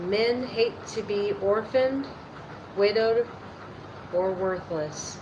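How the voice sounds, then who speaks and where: A woman at a fairly high pitch and a very slow pace, with ordinary pitch variation and long, frequent pauses, amid noticeable background noise and audible room echo. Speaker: YouTuber reading aloud. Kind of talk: reading aloud. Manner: halting, rereading lines.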